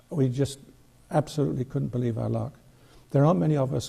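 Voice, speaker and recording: Somewhat breathy, a man speaks at a medium pitch in a dark, mellow tone with ordinary pitch variation. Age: 70s. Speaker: model railroad club historian. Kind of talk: radio interview. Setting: studio.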